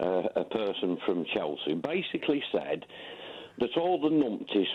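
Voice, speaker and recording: A man talks with a Lancashire accent. His pitch swings very widely. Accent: northern English (Lancashire). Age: 60s. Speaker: caller, ex-military. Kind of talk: radio phone-in.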